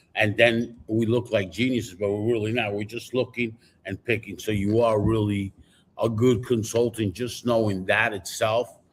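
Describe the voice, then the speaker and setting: Speaking with an American accent at a moderate pace, a man uses a medium pitch and monotone, flat intonation in a somewhat breathy voice. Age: 60s. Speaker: podcast co-host, car industry veteran. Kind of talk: casual panel discussion. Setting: live stream.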